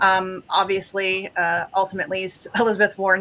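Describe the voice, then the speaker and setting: A woman's monotone, flat intonation. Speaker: activist show host. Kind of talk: guest introductions on a live show. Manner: fast; many filler words (um, uh).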